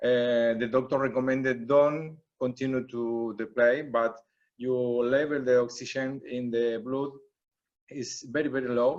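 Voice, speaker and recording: This man talks at a fairly slow pace and a medium pitch. His intonation is monotone and flat. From Brazil. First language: Portuguese. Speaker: technical official. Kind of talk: asking questions at a seminar. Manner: halting, hesitant non-native English.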